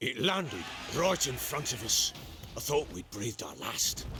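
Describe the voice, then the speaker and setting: Putting on a gruff character voice, a man speaks at a medium pitch and a moderate pace. His pitch swings very widely. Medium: video game. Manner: gruff, blunt, cursing.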